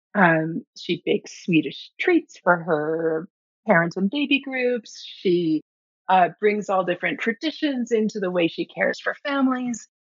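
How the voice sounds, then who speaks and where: Her pitch swings very widely around a medium level. The woman speaks at a fairly slow pace. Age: 50s. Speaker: website designer for birth workers, former doula and midwife. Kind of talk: interview.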